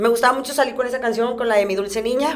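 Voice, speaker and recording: There is audible room echo as a woman speaks in a fairly high pitch. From Reynosa, Tamaulipas, Mexico. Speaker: professional wrestler. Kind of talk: casual interview.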